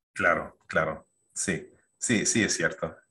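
A man speaks at a very slow pace. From Canada, Toronto. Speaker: financial advisor; guest. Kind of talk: interview. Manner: halting, many fillers and repetitions. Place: home room. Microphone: video call.

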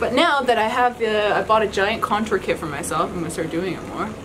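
A woman with a fairly high voice talks at a very fast pace amid noticeable background noise. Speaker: beauty YouTuber. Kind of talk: casual chat. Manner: laughing often; loud. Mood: cheerful, playful. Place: home room. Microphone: camera far.

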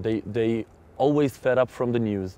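Medium in pitch and dark, mellow in tone, a man speaks with an Israeli accent in a dry sound with no echo. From Israel, Jaffa. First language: Hebrew. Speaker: metal singer; interviewee. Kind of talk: interview. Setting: outdoors. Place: open country.

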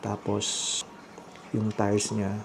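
A man talks very slowly at a fairly low pitch, with monotone, flat intonation. Background noise is noticeable. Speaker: vlogger. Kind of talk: casual vlog narration. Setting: at home at night. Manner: hushed, lowered voice.

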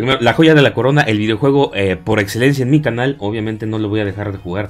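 A man speaks at a fairly low pitch. His intonation is lively. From Mexico. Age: 30s. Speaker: gaming YouTuber. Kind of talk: casual vlog monologue. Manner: hesitant, many fillers.

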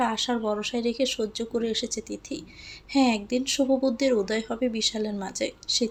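A natural reading voice, fairly even in intonation

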